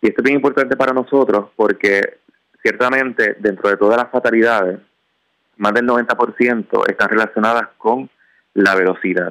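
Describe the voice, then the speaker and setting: In a normal speaking voice, a man talks at a moderate pace and medium pitch, with fairly even intonation and very even loudness. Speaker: traffic safety commission official. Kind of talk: radio interview.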